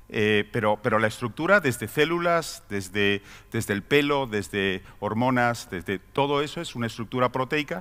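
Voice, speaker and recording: A man speaks at a moderate pace with lively intonation and a bright, sharp tone. The recording is very clean with a silent background. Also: medium pitch for a man, hardly any pauses. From Spain. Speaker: pharmaceutical executive. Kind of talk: conference talk. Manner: halting, many fillers and repetitions.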